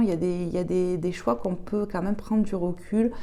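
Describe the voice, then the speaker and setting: Soft-spoken and calm, a woman talks with a dark, mellow tone. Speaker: tarot/oracle card reader. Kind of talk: oracle card reading.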